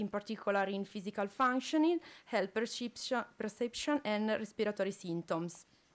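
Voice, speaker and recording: In an Italian accent, a woman talks at a fairly quick pace with a fairly high pitch and ordinary pitch variation. The recording is very clean, with a silent background. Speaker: respiratory physiotherapist. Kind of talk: conference presentation. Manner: halting.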